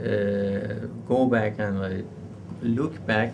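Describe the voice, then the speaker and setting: Fairly even intonation with audible room echo. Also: man. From Iran. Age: 40s. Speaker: university professor. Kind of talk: interview. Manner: halting.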